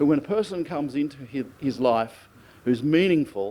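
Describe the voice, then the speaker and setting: With an Australian accent, this voice has a dark, mellow tone, lively intonation and a moderate pace. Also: man. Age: 60s. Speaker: friend giving birthday speech. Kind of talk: birthday speech.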